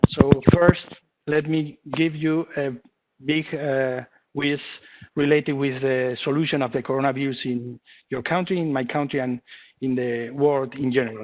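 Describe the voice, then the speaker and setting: Speaking in a Spanish accent with a fairly high pitch, a man keeps a fairly even intonation at a moderate pace, with long, frequent pauses. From Spain. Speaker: engineering lab head and presenter. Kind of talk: webinar lecture. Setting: online webinar. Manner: halting, many fillers.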